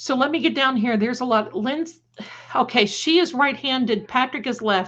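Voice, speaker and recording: A woman speaks with a high pitch and an American accent at a moderate pace. Her tone is animated, with ordinary pitch variation. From Ohio (Cleveland area). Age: 60s. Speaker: psychic livestream host. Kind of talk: livestream chat with viewers. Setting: live stream.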